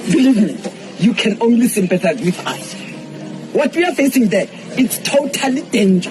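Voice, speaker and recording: Noticeable background noise sits beneath the voice. Its pace stays moderate. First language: Setswana. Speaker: displaced resident. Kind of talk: public complaint to mayor. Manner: impassioned.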